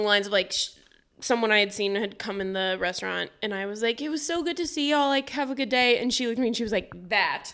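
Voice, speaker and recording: A woman's high, bright, sharp voice at a very fast pace with lively intonation, in a very clean recording with a silent background. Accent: American. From Missouri (St. Louis area). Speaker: podcast co-host. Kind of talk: casual chat.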